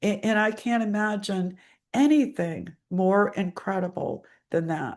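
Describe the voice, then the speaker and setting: A normal speaking voice from a woman at medium pitch, fairly slow pace and ordinary pitch variation, with a quiet background. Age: 60s. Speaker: business owner and family caregiver. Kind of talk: personal testimony.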